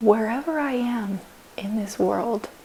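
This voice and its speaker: A woman speaks at a very slow pace with ordinary pitch variation. Noticeable background noise runs underneath. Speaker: vlogger and powerlifter. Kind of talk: casual vlog talk. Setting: at home on the couch. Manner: quiet.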